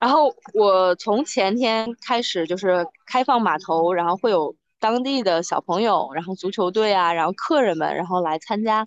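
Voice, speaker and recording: A woman's medium-pitched, moderately paced delivery, an ordinary speaking voice. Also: lively intonation. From Hebei, China (family from Beijing). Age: 30s. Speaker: amateur sailor, former internet company employee. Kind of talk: interview. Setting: video call, outdoors on a harbour dock.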